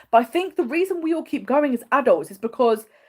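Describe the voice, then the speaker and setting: A woman speaks with an English accent in an animated tone. Her intonation is lively. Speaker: travel vlogger. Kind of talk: livestream Q&A. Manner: fast.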